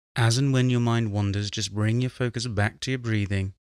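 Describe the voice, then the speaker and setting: A man with a British accent, fairly low in pitch, calm in tone and fairly even in intonation, on a very clean recording with a silent background. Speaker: meditation guide. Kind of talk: guided meditation. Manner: calm, slow.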